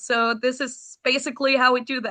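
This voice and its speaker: Against a quiet background, a woman projects a raised, high-pitched voice with a bright, sharp tone, flat monotone intonation, and a moderate pace. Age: 20s. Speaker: rock band singer. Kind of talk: interview.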